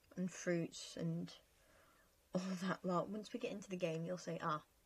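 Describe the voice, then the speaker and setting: Somewhat breathy, a woman speaks at a moderate pace with a medium pitch and fairly even intonation. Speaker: gaming youtuber. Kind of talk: casual chat over gameplay.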